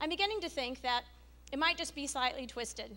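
A woman speaks at a fairly quick pace in a raised, projected voice. Her pitch is high and her intonation lively. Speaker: stand-up comedian. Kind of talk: stand-up comedy. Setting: stage with audience. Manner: animated. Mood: wry, humorous storytelling. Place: hall. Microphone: handheld.

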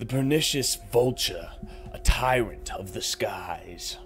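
The clip features an unforced reading voice.

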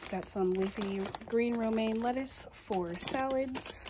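A woman's voice with ordinary pitch variation, over noticeable background noise. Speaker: home vlogger. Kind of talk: casual vlog chat. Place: kitchen. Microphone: phone near.

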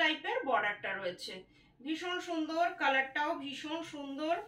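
A woman's raised, projected voice with audible room echo. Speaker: sari seller. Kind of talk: product showcase sales talk. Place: home room. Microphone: phone near.

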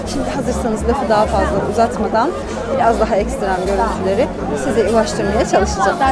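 A woman talking at a very fast pace over crowd noise in the background. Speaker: travel vlogger. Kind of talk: casual vlog chat. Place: market. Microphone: phone near.

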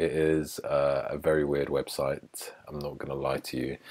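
In an English accent, a man speaks fairly slowly over a quiet background. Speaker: YouTuber. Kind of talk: casual chat. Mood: joking, playful. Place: home room. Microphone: earbuds.

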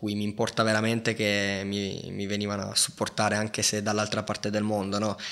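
At a moderate pace, a man talks in a fairly low voice with a bright, sharp tone. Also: quiet background. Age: 20s. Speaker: professional judoka; podcast guest. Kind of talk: casual chat. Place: studio. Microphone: studio mic.

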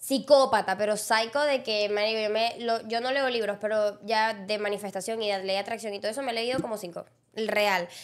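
Over a quiet background, a woman speaks quickly at a fairly high pitch in an animated tone. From Venezuela, Llanos region; Venezuela. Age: 20s. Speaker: podcast co-host and content creator; podcast co-host, content creator. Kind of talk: casual chat. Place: studio. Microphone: studio mic.

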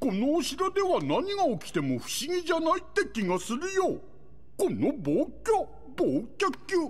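The pace is fairly slow. A put-on character voice is used throughout. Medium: video game. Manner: slow, bumbling.

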